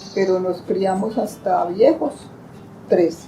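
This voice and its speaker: A woman at a very slow pace, medium in pitch, with ordinary pitch variation and noticeable background noise. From Colombia, Valle del Cauca. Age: old. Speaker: grandmother giving life testimony. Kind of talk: testimony.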